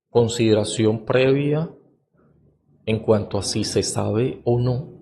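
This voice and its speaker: In a room with audible echo, a man talks very slowly at medium pitch, his tone dark and mellow and somewhat breathy. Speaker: podcast host, educator on cognition and reading. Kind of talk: lecture-style monologue. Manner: hesitant, many filler sounds (eh).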